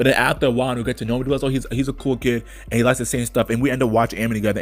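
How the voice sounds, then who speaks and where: A man's medium-pitched voice with an animated tone, music playing in the background. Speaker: YouTuber. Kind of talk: casual vlog monologue.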